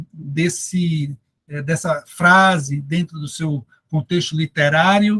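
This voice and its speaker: This man's voice sits at a fairly high pitch. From Brazil, Recife (Pernambuco). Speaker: Bible scholar and theology professor. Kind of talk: lecture. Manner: halting, many fillers.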